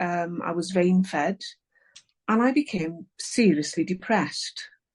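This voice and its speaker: A woman with an English accent speaks at a medium pitch with ordinary pitch variation. Her voice is somewhat breathy, and the sound is dry and close with no echo. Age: 60s. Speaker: author. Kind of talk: interview. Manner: halting.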